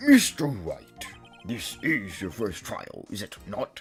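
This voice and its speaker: A put-on character voice from a man, medium in pitch and fairly slow, with big swings in loudness and faint music in the background. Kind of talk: formal courtroom. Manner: stern, authoritative.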